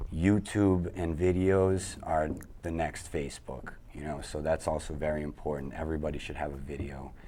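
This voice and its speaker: Audible room echo surrounds a man with a very deep, low pitch. He speaks at a moderate pace with fairly even intonation. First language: Italian. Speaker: web design company partner. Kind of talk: interview.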